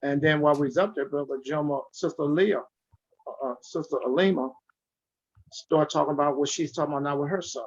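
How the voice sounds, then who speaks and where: Speaking at a fairly quick pace, a man with a fairly high pitch leaves long, frequent pauses. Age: 60s. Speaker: community activist. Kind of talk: online forum discussion. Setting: video call. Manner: animated.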